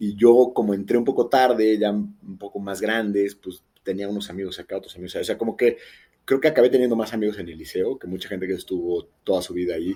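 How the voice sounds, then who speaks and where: A man talks at a very fast pace in a dark, mellow tone with ordinary pitch variation. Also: big swings in loudness. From Mexico City. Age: 40s. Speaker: wellness entrepreneur. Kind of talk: podcast interview. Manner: halting.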